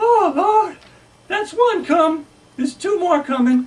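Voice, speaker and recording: The voice is a put-on character voice pitched extremely high. Its pace is fairly slow. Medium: solo performance. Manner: drowsy, folksy.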